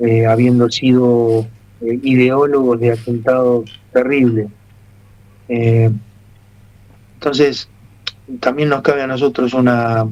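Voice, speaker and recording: Speaking very slowly with long, frequent pauses, a man keeps a medium pitch, a dark, mellow tone and flat, monotone intonation. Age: 60s. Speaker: military family member, political commentator. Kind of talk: radio interview.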